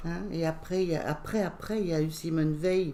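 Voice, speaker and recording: A woman speaks at a fairly low pitch, her tone dark and mellow. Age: 70s. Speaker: retired accountant, former feminist activist. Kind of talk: casual interview. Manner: halting, many hesitations.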